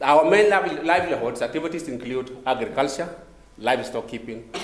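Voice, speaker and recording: With audible room echo, a man speaks at a moderate pace in a fairly high pitch. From South Sudan. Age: 50s. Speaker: government disaster management official, panelist. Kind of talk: conference presentation. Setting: conference room with audience. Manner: halting, many fillers.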